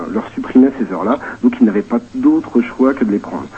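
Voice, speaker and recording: A man at medium pitch, lively in intonation, at a moderate pace amid noticeable background noise. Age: 30s. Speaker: vocational high school teacher. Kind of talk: phone testimony on radio. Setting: phone call.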